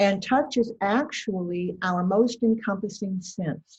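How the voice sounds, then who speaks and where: A woman speaks in a somewhat breathy voice. Her pitch variation is ordinary. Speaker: educator on touch for caregivers. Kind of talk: lecture. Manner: soft-spoken. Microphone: too quiet.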